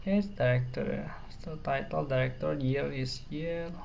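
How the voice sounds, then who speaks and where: The speaker talks at a fairly slow pace with an Indonesian accent. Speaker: programming tutor. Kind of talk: tutorial.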